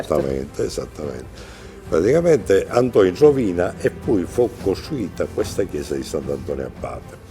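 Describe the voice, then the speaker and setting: Over background music, a man speaks at a moderate pace in a fairly low pitch. His pitch swings very widely. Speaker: local historian. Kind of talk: guided tour explanation.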